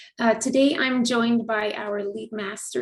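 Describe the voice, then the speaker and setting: A woman talks at a moderate pace with vocal fry. Her pitch is fairly high, with ordinary variation. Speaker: online event host and community founder. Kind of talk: hosted online interview. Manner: conversational, some filler words.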